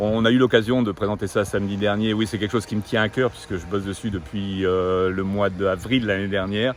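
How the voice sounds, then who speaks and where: Over noticeable background noise, a man talks at a fairly quick pace and fairly low pitch, with fairly even intonation and hardly any pauses. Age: 60s. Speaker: retired executive, local election candidate. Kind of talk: interview.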